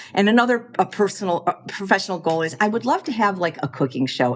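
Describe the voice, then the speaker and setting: A woman with an American accent talks at a fairly quick pace against noticeable background noise. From US Midwest, Chicago. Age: 60s. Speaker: plant-based chef and cookbook author. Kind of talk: podcast interview. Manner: fast; halting, with repetitions.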